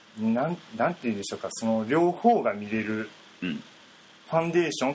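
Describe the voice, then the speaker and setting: Very wide pitch swings mark this man's speech. He talks at a very fast pace. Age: 20s. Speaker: painter. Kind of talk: interview.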